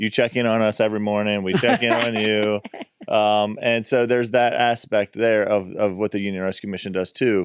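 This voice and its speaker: A man speaks at a moderate pace in fairly low pitch, with an ordinary speaking voice. The recording is very clean, with a silent background. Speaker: pastor. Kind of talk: interview questions.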